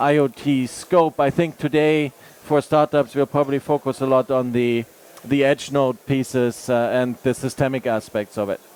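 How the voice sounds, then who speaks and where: In a German accent, a man talks at a moderate pace with monotone, flat intonation, the sound dry and close with no echo. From Germany. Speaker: tech product manager, panelist. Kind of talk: panel discussion.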